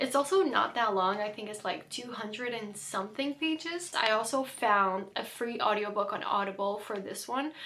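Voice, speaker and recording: Through noticeable background noise, a woman speaks at a fairly quick pace and a fairly high pitch, with ordinary pitch variation. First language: not English. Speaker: book content creator. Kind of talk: casual vlog talk.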